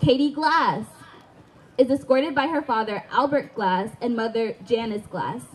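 A woman talks in a high pitch. Her pace is moderate. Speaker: stadium announcer. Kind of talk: ceremony announcement. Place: stadium.

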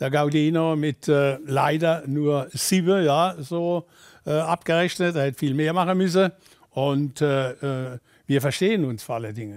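A man with a Kurpfalz accent speaks fairly slowly at a fairly high pitch with ordinary pitch variation, against a quiet background. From Kurpfalz, Germany. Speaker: former football coach. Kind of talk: interview answer. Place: studio.

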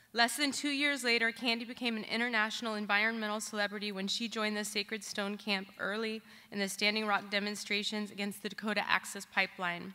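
A woman talks very fast in a bright, sharp tone, flat and monotone, with hardly any pauses. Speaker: program director introducing speaker. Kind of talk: introduction of a speaker. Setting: stage with audience. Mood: earnest, somber. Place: stage. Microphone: podium.

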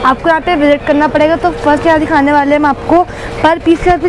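Over clear background noise, including clear crowd noise, a woman speaks fast in a high voice with fairly even intonation.

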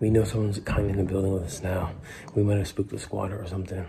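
A man's fairly low, monotone voice with flat intonation over noticeable background noise. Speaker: explorer vlogger. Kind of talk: casual vlog chat. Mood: tense, spooked. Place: hall. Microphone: phone near.

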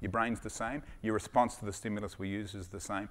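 The speaker is a man. He has an Australian accent. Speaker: sports doctor and startup founder. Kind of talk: startup pitch with Q&A. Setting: stage with audience. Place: stage. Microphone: headset.

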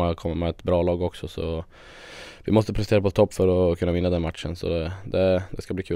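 Very deep and low, a man's voice carries a dark, mellow tone. He speaks in a monotone, flat intonation against a quiet background. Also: dry sound with no echo. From Sweden, Västerås; Sweden. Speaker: handball player. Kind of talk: interview. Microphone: handheld.

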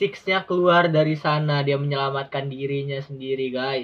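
The speaker here is a man. He keeps his intonation fairly even. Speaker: gaming video creator. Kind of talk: casual game commentary. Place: home room.

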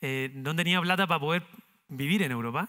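Against a quiet background, a man speaks at a fairly quick pace. His tone is bright and sharp, with ordinary pitch variation. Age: 30s. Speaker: entrepreneur, company founder; speaker. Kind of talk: talk to university students; interview answer, storytelling talk. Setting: university auditorium with audience. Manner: halting, many repetitions and fillers. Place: stage. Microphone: headset.

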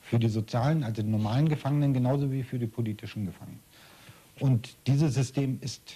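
The man has a dark, mellow tone that is somewhat breathy. He speaks at a moderate pace. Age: 60s. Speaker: former political prisoner. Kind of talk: interview. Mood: serious, reflective. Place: home room.

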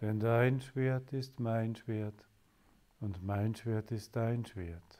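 A man speaks at a very slow pace in a dark, mellow, calm and soothing tone with fairly even intonation. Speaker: spiritual teacher leading meditation. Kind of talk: guided meditation. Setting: live online session for listeners. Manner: slow, calm, soothing, with pauses; devotional, solemn in prayers. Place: home room.

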